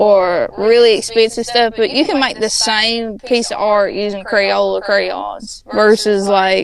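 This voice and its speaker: A woman with an American accent and a fairly high pitch speaks very slowly with fairly even intonation and hardly any pauses. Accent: Appalachian accent, still comes out. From Appalachia, US. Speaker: podcast guest, artist and cosplayer. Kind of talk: casual chat.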